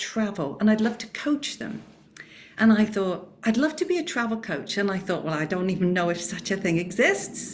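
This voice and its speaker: The woman's voice comes across as somewhat breathy. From England. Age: 60s. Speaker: travel coach. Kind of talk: panel discussion.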